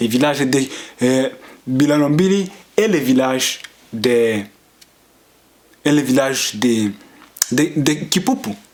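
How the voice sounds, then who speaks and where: A man speaks at a very slow pace with a fairly high pitch and very even loudness. Long, frequent pauses break up his speech over noticeable background noise. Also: ordinary pitch variation. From Tanzania refugee camps, Banyamulenge (Congolese) community. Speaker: community activist vlogger. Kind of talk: political monologue. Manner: halting, with hesitations.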